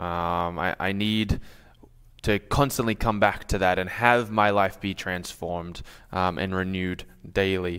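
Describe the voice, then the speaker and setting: With an Australian accent and fairly even intonation, the speaker goes at a fairly slow pace on a very clean recording with a silent background. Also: man, very deep, low pitch for a man. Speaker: pastor. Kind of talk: sermon. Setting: church.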